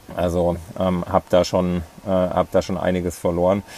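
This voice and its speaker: At a very slow pace, a man talks in a very deep, low pitch with monotone, flat intonation. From Thuringia, Germany (near Ilmenau). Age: 30s. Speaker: ultra-distance cyclist. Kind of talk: interview. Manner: hesitant, many fillers.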